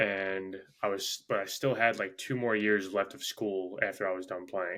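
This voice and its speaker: A man talks at a fairly slow pace with a New York accent. His voice sits at a fairly low pitch. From Long Island, New York. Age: 20s. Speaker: gym owner and fitness coach. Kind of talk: casual interview chat. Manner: halting, many fillers.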